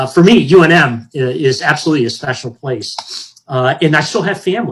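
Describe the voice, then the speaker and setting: Somewhat breathy, a man with a fairly high pitch speaks at a moderate pace with ordinary pitch variation. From Hawaii. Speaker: federal space regulator, retired air force officer. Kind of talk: interview. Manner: halting.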